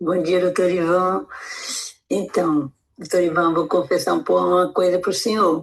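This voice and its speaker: This woman talks at a fairly low pitch with fairly even intonation. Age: 60s. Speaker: weight-loss program participant. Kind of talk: audio testimonial.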